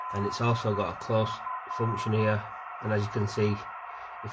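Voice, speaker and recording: Male speech over background music. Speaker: hobbyist reviewer. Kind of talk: casual product review. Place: home room. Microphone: phone near.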